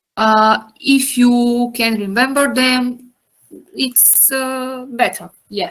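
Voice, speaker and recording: Someone with a non-native accent speaks at a very slow pace with fairly even intonation. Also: woman, high pitch for a woman. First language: not English. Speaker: anatomy teacher. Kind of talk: lecture. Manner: halting.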